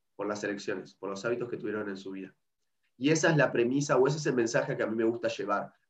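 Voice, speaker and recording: A man's medium-pitched voice at a very fast pace, with big swings in loudness and ordinary pitch variation. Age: 30s. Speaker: nutrition educator. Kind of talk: interview. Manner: halting, repeats words.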